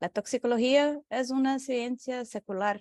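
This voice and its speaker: Spoken with a Portuguese accent and ordinary pitch variation. The recording is very clean with a silent background, and the sound is dry and close with no echo. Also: woman. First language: Portuguese (speaking Spanish). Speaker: researcher. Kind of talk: lecture. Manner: halting, many fillers.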